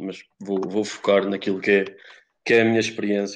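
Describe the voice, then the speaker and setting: Against a quiet background, a man with a fairly low pitch talks at a very fast pace in a monotone, flat intonation. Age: 20s. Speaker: podcast co-host, economics student. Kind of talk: casual chat.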